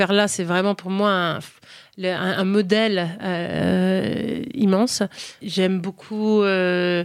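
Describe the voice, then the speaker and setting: At a very slow pace, a woman speaks in a medium pitch. Her intonation stays monotone and flat. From United States (ages 7 to 21), French-speaking home. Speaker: food and lifestyle content creator. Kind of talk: interview conversation. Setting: hotel recording. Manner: hesitant, many repetitions and fillers.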